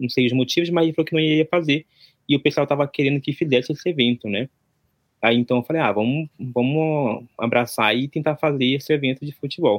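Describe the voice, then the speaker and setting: A man speaks with ordinary pitch variation in an unremarkable speaking voice. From Brazil, Amazonas (interior near Manaus). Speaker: event organizer, content creator. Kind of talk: casual interview.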